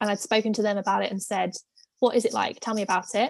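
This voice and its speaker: A woman speaks in a British accent. Her pitch is fairly high. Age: 20s. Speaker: former theme park and cruise ship worker. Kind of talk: casual interview chat.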